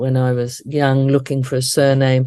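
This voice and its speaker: Here is a woman with an Australian accent. Her pitch is very deep and low. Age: 60s. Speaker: death celebrant and educator. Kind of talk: interview conversation.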